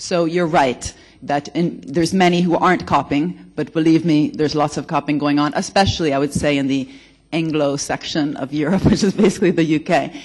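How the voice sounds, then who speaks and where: With an American accent, the speaker moves at a fairly quick pace. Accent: American-sounding. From Italy. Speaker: economics researcher, conference speaker. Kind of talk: conference panel discussion.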